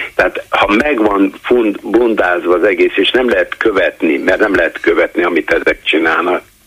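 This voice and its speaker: A man's voice at very even loudness, with noticeable background noise. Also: moderate pace. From Budapest (Kőbánya). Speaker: caller. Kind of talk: call-in comment. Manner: halting, repetitive stammering.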